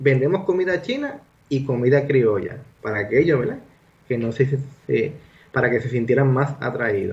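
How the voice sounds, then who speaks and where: Delivery moves at a moderate pace with long, frequent pauses. Pitch variation is ordinary. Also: man, medium pitch for a man. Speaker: doctor, guest sharing family history. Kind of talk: radio interview. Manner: halting, many fillers.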